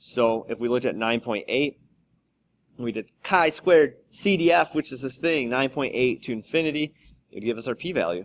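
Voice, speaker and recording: The recording is very clean, with a silent background. A man with an ordinary speaking voice talks at a medium pitch and a moderate pace, using lively intonation. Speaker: high school statistics teacher. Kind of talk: tutorial.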